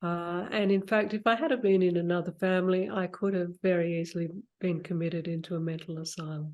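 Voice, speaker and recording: With a plain, everyday voice, a woman speaks at a moderate pace with a fairly low pitch and fairly even intonation. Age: 60s. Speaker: spiritual mentor and healer. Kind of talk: interview conversation.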